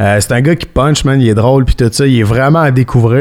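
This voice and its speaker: A man with a fairly high pitch and a Quebec accent. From Sherbrooke, Quebec. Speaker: podcast host. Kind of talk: casual chat.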